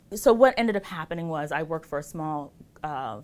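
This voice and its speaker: Against a silent background on a very clean recording, a woman talks at a very fast pace. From Ghana. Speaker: lawyer. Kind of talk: casual interview. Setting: office studio interview.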